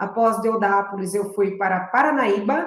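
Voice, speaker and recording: A São Paulo interior accent with audible room echo. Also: woman. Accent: São Paulo interior accent, rhotic r. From interior of São Paulo state, Presidente Prudente. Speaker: public prosecutor. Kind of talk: interview.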